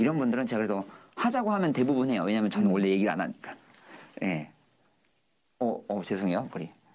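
A medium-pitched man talks at a very fast pace in an animated tone with lively intonation. His speech is broken by long, frequent pauses. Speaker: hair designer. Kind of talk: casual interview chat. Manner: animated, talkative.

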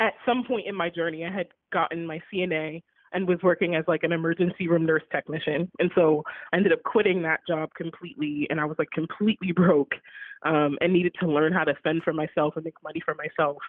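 Using a fairly quick pace, a woman talks with an American accent and fairly even intonation. Hers is a fairly low, an unremarkable speaking voice. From Baltimore, Maryland. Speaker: arts advocate and philanthropist. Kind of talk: interview. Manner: casual, many filler words.

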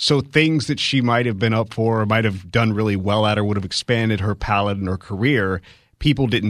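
An unremarkable speaking voice from a man, fairly low in pitch, with ordinary pitch variation, a fairly quick pace and a quiet background. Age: 40s. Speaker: radio co-host. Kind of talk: radio talk show. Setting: radio studio.

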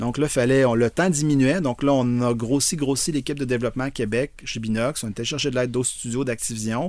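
A man speaks in an unremarkable speaking voice at a medium pitch. He keeps a fairly quick pace, fairly even intonation and hardly any pauses. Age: 50s. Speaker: video game designer. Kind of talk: interview.

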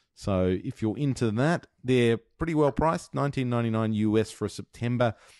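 A man's medium-pitched voice with a dark, mellow tone, lively intonation and a moderate pace, in an Australian accent, dry and close with no echo against a quiet background. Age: 40s. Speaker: podcast host. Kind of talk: casual chat.

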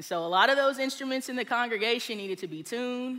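In a room with audible echo, a woman talks at a fairly quick pace with a bright, sharp tone. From Texas. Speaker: small group leader. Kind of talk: sermon. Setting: stage with audience.

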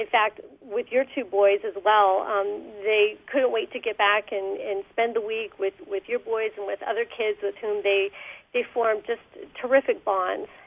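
A woman talks in a plain, everyday voice, her pitch fairly high and intonation fairly even, at a moderate pace. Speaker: youth leadership program coordinator. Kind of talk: radio interview. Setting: phone call.

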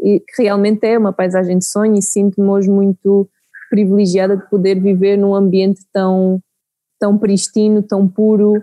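The woman speaks at a medium pitch. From Portugal, Santarém region. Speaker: beekeeping project manager. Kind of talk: interview. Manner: halting.

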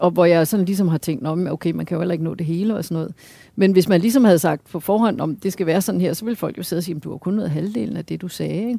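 Dark and mellow in tone, the voice rushes at a very fast pace with vocal fry and ordinary pitch variation on a very clean recording with a silent background. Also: woman, fairly low pitch for a woman. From Denmark, Hørsholm. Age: 50s. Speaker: astrophysicist. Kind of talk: interview over a meal.

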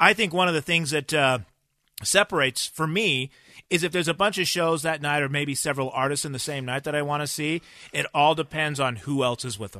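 A fairly high-pitched man with a bright, sharp tone and ordinary pitch variation at a fairly quick pace, dry and close with no echo, over a quiet background. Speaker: music show host. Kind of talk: casual chat.

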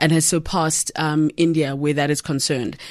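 A woman with a very deep, low pitch talks at a fairly quick pace, with ordinary pitch variation. The recording is very clean, with a silent background. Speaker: podcast host. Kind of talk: interview conversation.

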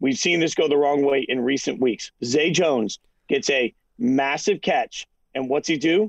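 With an unremarkable speaking voice, a man talks at a fairly high pitch with ordinary pitch variation, the sound dry and close with no echo. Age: 40s. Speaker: sports broadcaster. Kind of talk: post-game sports analysis chat.

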